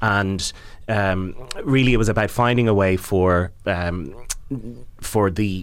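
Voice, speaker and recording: In an Irish accent, a man speaks with a very deep, low pitch and ordinary pitch variation. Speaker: arts campaigner and theatre director. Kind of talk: interview.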